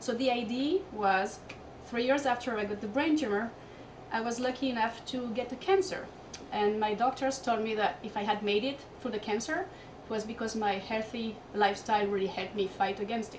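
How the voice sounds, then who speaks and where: Speaking at a fairly quick pace in a Corsican accent, a woman with a fairly high pitch and ordinary pitch variation is heard with noticeable background noise and audible room echo. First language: French. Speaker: fitness and lifestyle coach. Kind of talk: interview. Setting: hotel room.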